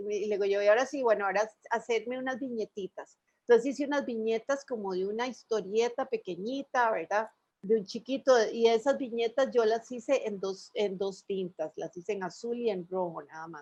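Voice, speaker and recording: A woman speaks with a Costa Rican accent at a fairly high pitch. Her loudness swings widely. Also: ordinary pitch variation, moderate pace. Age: 60s. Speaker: illustrator. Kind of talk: radio interview. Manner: conversational, storytelling.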